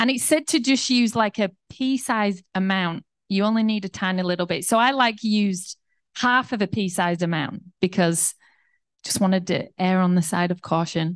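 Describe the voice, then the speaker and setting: In a quiet background with a dry, close sound and no echo, a woman with an unremarkable speaking voice talks at a moderate pace with ordinary pitch variation. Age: 40s. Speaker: pastor. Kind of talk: sermon.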